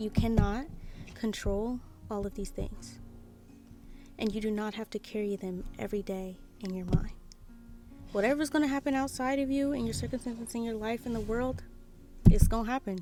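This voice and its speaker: A woman speaks at a moderate pace with a fairly high pitch and ordinary pitch variation. Music plays in the background, and her pauses are long and frequent. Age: 20s. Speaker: artist and spiritual content creator. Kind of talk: casual talk to camera. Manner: emphatic, motivational.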